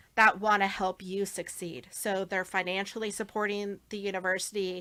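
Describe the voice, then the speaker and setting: A woman with a medium pitch speaks in a bright, sharp tone at a moderate pace. Her intonation stays flat and monotone. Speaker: fundraising and philanthropy professional. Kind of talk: panel interview conversation.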